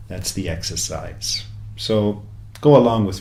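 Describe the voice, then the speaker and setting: Somewhat breathy and relaxed, a man speaks with audible room echo around him. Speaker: self-help coach. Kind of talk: talk. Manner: slow, relaxed, hypnotic.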